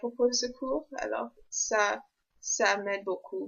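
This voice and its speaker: Delivered at a very slow pace, this voice carries an English accent and fairly even intonation. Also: woman. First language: English (speaking French). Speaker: university student vlogger. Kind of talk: vlog. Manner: halting, many hesitations.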